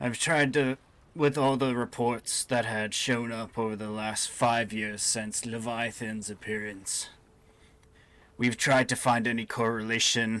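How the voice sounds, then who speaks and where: In a very clean recording with a silent background, a man uses a put-on character voice at medium pitch, speaking at a fairly slow pace with fairly even intonation. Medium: actual play. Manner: measured, explanatory.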